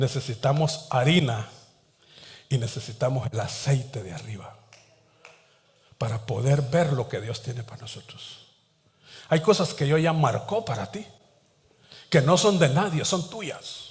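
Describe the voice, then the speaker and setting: Somewhat breathy and with lively intonation, the voice moves at a fairly slow pace with long, frequent pauses and audible room echo. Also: man, fairly high pitch for a man. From Latin America, coastal port town. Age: 60s. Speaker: pastor. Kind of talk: sermon.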